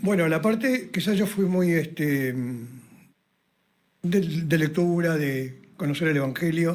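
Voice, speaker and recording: There is audible room echo around this man's voice. He speaks at a high pitch with ordinary pitch variation. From southern Chile (Puerto Natales). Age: 80s+. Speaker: pastor. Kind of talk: radio interview. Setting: radio studio.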